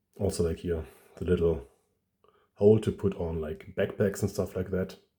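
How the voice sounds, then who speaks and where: Speaking at a moderate pace in a German accent, a man with a very deep, low pitch and a dark, mellow tone sounds somewhat breathy, his intonation fairly even. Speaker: toy collector YouTuber. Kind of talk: product review. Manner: halting, many fillers.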